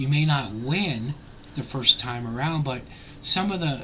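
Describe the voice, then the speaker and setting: A man with a plain, everyday voice, fairly high pitch, ordinary pitch variation and a fairly slow pace. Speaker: YouTube vlogger. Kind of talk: casual vlog commentary.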